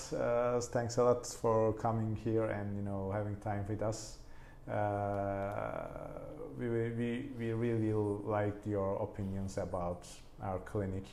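A man's fairly low voice with a Turkish accent, ordinary pitch variation and a fairly slow pace, over noticeable background noise and audible room echo. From Turkey. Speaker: plastic surgeon. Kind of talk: podcast interview.

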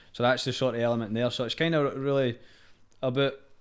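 In a Scottish accent, a man talks at a medium pitch and a fairly quick pace. His intonation is monotone and flat, on a very clean recording with a silent background. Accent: Scottish (Fife). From Scotland, Fife. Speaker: singer-songwriter. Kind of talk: casual chat.

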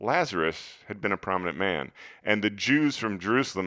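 The tone rises and falls with life in a natural reading voice.

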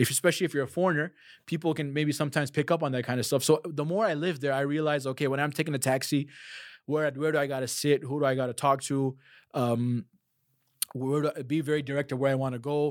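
In a very clean recording with a silent background, a man with a fairly high pitch speaks very fast in fairly even intonation. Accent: Chicago. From US Midwest, Chicago. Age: 30s. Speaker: Quran teacher. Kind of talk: casual interview.

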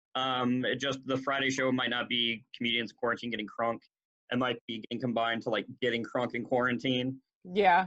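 At a moderate pace, a man speaks in an unremarkable speaking voice, medium in pitch with fairly even intonation. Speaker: podcast host. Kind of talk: casual chat among friends.

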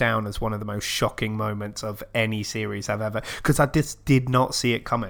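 At a moderate pace, a man talks at medium pitch in a normal speaking voice. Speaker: podcast host. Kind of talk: casual chat.

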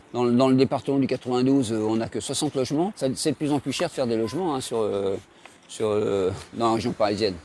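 This man's voice sits at a medium pitch. His delivery is fairly quick. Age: 60s. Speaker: charity volunteer. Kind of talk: interview explanation. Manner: halting.

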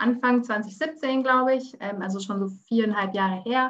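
A woman's fairly high, a plain, everyday voice, at a moderate pace with fairly even intonation. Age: 20s. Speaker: vegan cooking expert. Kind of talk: interview.

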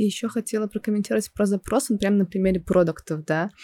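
A woman with a plain, everyday voice talks at a fairly quick pace with ordinary pitch variation. The sound is dry and close, with no echo. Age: 20s. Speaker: project manager and instructor. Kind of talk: casual chat.

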